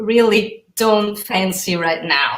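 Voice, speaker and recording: In an Italian accent, a woman speaks at a very slow pace with medium pitch and ordinary pitch variation. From Italy. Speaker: author. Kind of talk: interview. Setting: pre-recorded remote interview. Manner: halting.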